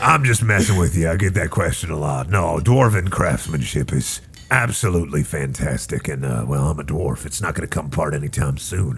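A gruff, put-on character voice moves at a moderate pace over clear background noise. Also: man, very deep, low pitch for a man, hardly any pauses. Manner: folksy, upselling salesman patter.

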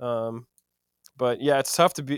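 Recorded with a dry, close sound and no echo, a man at a medium pitch has a plain, everyday voice. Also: very clean recording, silent background. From US Midwest, Madison, Wisconsin. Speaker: singer-songwriter. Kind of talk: casual chat.

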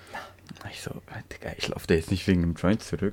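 With noticeable background noise behind him, a man with a very deep, low pitch talks in a monotone, flat intonation. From Turkey. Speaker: podcast co-host. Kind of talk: casual chat.

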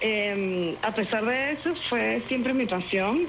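Someone talks at a very slow pace with lively intonation. Room echo is audible, and background noise is noticeable. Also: woman. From Venezuela. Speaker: actress and singer. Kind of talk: interview.

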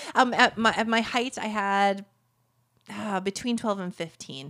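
A woman with a medium pitch and ordinary pitch variation is heard on a very clean recording with a silent background. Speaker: entrepreneur and business coach. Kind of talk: interview. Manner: fast talker.

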